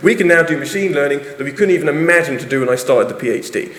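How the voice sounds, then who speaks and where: In an English accent, a man speaks very fast at a high pitch, with audible room echo and noticeable background noise. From England. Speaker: university lecturer and researcher. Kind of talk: conference talk. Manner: animated.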